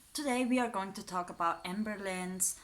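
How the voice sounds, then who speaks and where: A woman speaks with a European accent at a medium pitch. Her pitch varies in an ordinary way. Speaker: YouTuber, psychology student. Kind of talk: casual commentary video. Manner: hesitant, many fillers.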